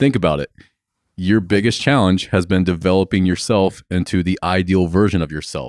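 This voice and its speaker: At a moderate pace, a man talks with an American accent in a very deep, low voice. The recording is very clean, with a silent background. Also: ordinary pitch variation. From USA. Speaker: podcast host, gym owner. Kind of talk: casual chat.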